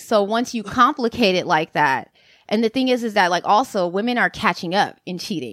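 Lively in intonation, a woman with a plain, everyday voice speaks at a moderate pace and fairly high pitch, recorded very cleanly against a silent background with a dry, close sound and no echo. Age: 20s. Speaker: sex worker and independent scholar. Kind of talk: casual interview.

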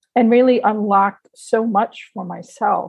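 Somewhat breathy, a woman speaks at a medium pitch and a fairly slow pace with fairly even intonation. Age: 60s. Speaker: retired civil servant, amateur boxer and writer. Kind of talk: interview.

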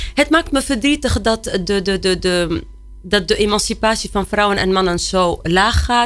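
A woman with an unremarkable speaking voice talks at a moderate pace and medium pitch, her loudness very even and her intonation lively. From Tunisia. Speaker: director of a women's emancipation institute, activist. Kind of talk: panel discussion. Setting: studio.

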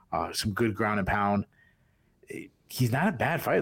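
A man speaks at a medium pitch with a Boston accent. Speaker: podcast executive producer and co-host. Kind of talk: sports preview chat. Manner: halting.

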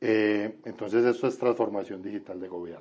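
Monotone, flat intonation runs through a man's fairly low-pitched speech. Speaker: government vice minister. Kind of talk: radio interview.

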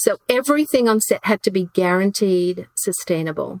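A woman's medium-pitched voice, dry and close with no echo.

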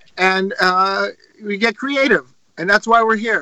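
A man's raised, projected voice, high in pitch and bright and sharp in tone, at a fairly slow pace. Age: 50s. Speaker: rock drummer. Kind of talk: casual chat.

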